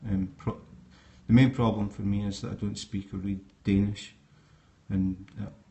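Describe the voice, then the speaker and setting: In a Scottish accent, the speaker is somewhat breathy, with monotone, flat intonation, a moderate pace and long, frequent pauses. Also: man, fairly low pitch for a man. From Scotland. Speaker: snake keeper. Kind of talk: live stream talk. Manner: hesitant, many fillers.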